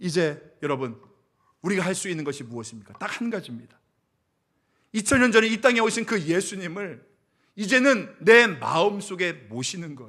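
A man's high, bright, sharp voice at a moderate pace, with very wide pitch swings, big swings in loudness and long, frequent pauses, in a very clean recording with a silent background. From South Korea, rural area. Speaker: senior pastor. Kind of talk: sermon. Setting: church.

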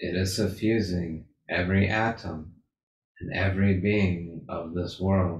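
Over light background noise and audible room echo, a man speaks in a very deep, low pitch with a calm, soothing tone, somewhat breathy and monotone, with flat intonation. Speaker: meditation leader. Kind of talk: guided meditation. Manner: slow, calm, soothing. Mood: calm, soft, reverent. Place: home room. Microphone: video call.

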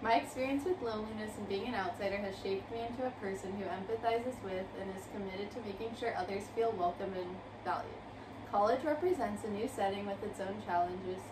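A woman talking very fast over noticeable background noise. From US, moved around, partly US South then California. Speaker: college student. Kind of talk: reading aloud. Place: home room. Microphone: camera far.

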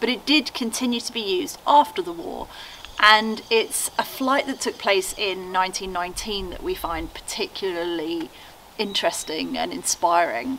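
Very wide pitch swings run through this fairly slow delivery, with light background noise behind it. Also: woman. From England, Norfolk. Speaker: YouTuber restoring a chateau. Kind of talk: guided tour video. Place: garage. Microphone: camera far.

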